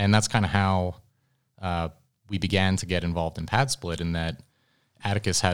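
A man's very deep, low voice with an American accent, fairly even intonation and a fairly quick pace, on a very clean recording with a silent background. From Philadelphia area, US. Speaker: startup executive, former Marine. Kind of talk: interview conversation. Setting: conference venue.

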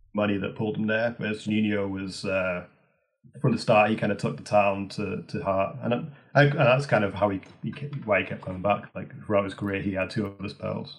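Fairly quick speech from a man, fairly low in pitch, with ordinary pitch variation. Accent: Teesside. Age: 30s. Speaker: author. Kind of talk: interview.

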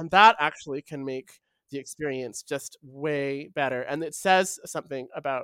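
Speaking at a fairly slow pace in a Canadian accent, a woman with a very deep, low pitch is heard in a very clean recording with a silent background and a dry, close sound with no echo. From Vancouver, Canada. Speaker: writer and poet. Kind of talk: interview conversation.

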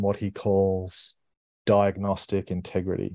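A man with an Australian accent talks at a fairly slow pace and a fairly low pitch. The background is quiet. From Brisbane, Australia. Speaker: business leader. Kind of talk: interview conversation. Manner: halting, many fillers.

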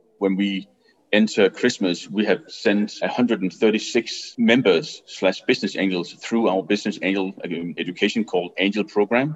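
A man with a Danish accent speaks at a fairly slow pace. His pitch is fairly low, with ordinary variation. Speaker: business angel network CEO. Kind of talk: interview. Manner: halting.

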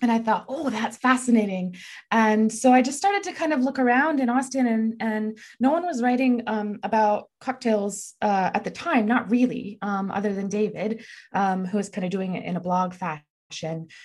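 A woman with an American accent speaks at a moderate pace. Her fairly high, somewhat breathy voice has ordinary pitch variation. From Texas. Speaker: journalist and author. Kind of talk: interview.

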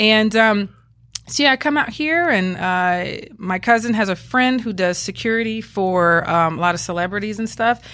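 A woman speaks with a bright, sharp tone at a moderate pace. The recording is very clean, with a silent background. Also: medium pitch for a woman, lively intonation. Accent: American. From US South, Georgia. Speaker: police officer. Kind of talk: casual interview, storytelling. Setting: studio, video podcast. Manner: upbeat, funny, vocal.

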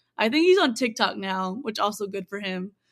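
An American woman speaks at a fairly high pitch and a moderate pace. She has a plain, everyday voice with an American accent. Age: 20s. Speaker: singer-songwriter and producer. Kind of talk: interview.

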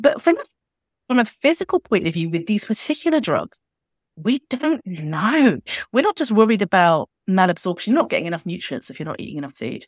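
On a very clean recording with a silent background and a dry, close sound with no echo, a woman at medium pitch speaks fairly quickly in an animated tone, with very wide pitch swings and big swings in loudness. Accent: British. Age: 40s. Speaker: doctor and fat activist. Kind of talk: podcast interview.

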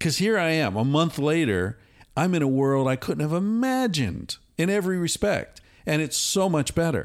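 In an American accent, a man speaks at a moderate pace with a fairly high pitch, very wide pitch swings and very even loudness on a very clean recording with a silent background. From United States. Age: 50s. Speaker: author and psychologist. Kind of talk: casual conversation. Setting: recorded at a retreat center in Costa Rica.

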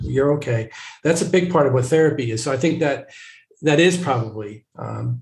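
A man's voice comes through somewhat breathy. He moves at a moderate pace with ordinary pitch variation. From small town. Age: 60s. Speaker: family therapist. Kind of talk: interview. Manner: halting.

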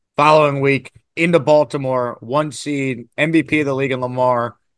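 At a moderate pace, a man with an ordinary speaking voice talks with fairly even intonation and a fairly high pitch. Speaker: sports radio host. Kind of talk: casual interview chat.

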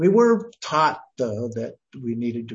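A man with an American accent speaks at a medium pitch and a fairly slow pace, sounding somewhat breathy. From Idaho, US. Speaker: Buddhist teacher and retired professor. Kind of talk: interview.

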